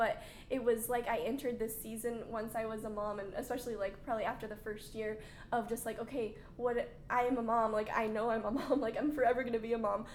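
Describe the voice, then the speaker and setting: A woman with a fairly high pitch, very fast and monotone, with audible room echo. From Arkansas. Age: 20s. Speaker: stay-at-home mom. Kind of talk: casual chat.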